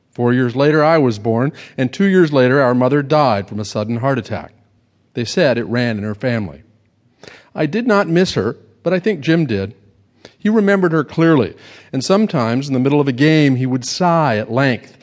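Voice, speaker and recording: This man has an unremarkable speaking voice at medium pitch. His intonation is lively and his pace fairly quick. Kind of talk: literary audiobook reading. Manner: measured, wry storyteller pacing, dry Southern-novel narration.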